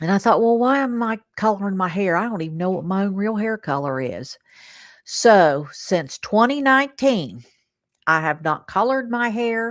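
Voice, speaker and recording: A woman with a medium-pitched voice speaks at a moderate pace in an animated tone, her pitch swinging very widely, on a very clean recording with a silent background. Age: 60s. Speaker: livestream host. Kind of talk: casual chat.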